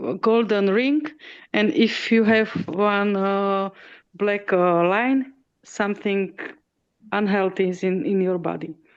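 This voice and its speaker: A woman with a non-native accent and medium pitch speaks at a very slow pace against a quiet background. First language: not English. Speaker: discussion group participant. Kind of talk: casual chat. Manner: halting, many fillers.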